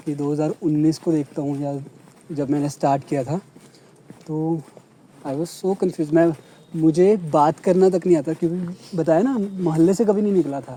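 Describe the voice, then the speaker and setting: With noticeable background noise, a man with a Punjabi accent speaks at a fairly high pitch with ordinary pitch variation and long, frequent pauses. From Punjab, India. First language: Punjabi (speaking Hindi). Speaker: vlogger. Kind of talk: casual chat.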